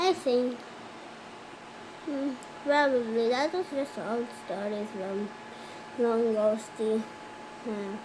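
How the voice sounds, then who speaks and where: Amid loud background noise, a female-sounding voice in a cartoonish character voice speaks at a fairly high pitch and a very slow pace, with long, frequent pauses. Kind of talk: animated cartoon character dialogue.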